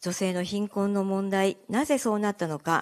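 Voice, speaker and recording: Her intonation stays fairly even at a medium pitch. The woman talks at a moderate pace. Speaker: local politician. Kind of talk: campaign speech. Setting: live event with audience. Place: meeting room. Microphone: handheld.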